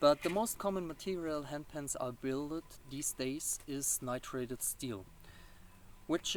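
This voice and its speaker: This is a man's voice. Its pitch is fairly high, with ordinary pitch variation. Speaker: handpan maker. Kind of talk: explainer video. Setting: outdoors in a garden. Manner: halting, many fillers.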